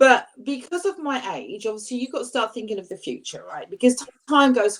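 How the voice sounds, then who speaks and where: A woman with vocal fry speaks at a moderate pace. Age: 60s. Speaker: weight-loss YouTuber on a panel. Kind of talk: casual chat.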